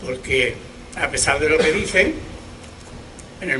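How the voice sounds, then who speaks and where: Moderate-paced speech from a man, fairly high in pitch, amid noticeable background noise and audible room echo. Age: 70s. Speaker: historical memory activist. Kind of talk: public speech at memorial event. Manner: animated.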